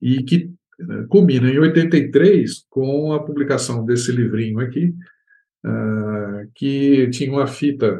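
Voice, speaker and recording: At a very slow pace, a man talks with a dark, mellow tone, medium pitch and ordinary pitch variation. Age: 70s. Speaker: composer and music professor. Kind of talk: interview. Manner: halting.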